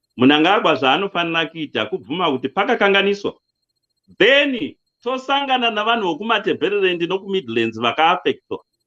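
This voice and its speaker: At a fairly quick pace, a man speaks in a high pitch with very wide pitch swings. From Zimbabwe. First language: Shona. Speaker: political commentator. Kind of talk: interview.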